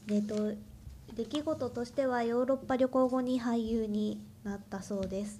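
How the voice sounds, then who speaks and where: A woman's dark, mellow voice, fairly high-pitched, with ordinary pitch variation and a moderate pace. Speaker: university student, show assistant. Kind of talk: casual educational chat. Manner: halting, many fillers.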